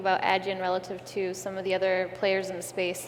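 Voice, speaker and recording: This woman speaks at a medium pitch. Audible room echo surrounds her voice. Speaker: investor. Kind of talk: panel discussion. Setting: stage with audience. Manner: fast.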